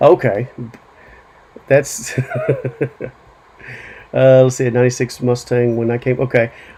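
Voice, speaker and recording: A man at medium pitch, monotone and flat, fairly slow, with long, frequent pauses and noticeable background noise. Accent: American. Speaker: livestream show host. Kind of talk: casual livestream chat.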